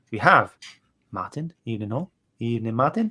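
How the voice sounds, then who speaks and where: A man with a strong Welsh accent speaks at a fairly low pitch with lively intonation. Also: very clean recording, silent background. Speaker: podcast host. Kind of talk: casual chat. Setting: live stream.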